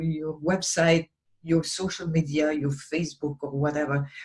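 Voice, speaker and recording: Slowly and somewhat breathily, a woman with a non-native accent talks in a fairly low voice. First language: not English. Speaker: business coach / vlogger. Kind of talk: talking-head tutorial. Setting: recorded alone to camera. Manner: halting, many fillers and restarts.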